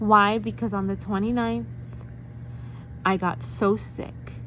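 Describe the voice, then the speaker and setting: A woman speaks at a fairly slow pace with an American accent, and the room echo is audible. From New York. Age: 40s. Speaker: vlogger. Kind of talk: personal vlog testimony. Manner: animated.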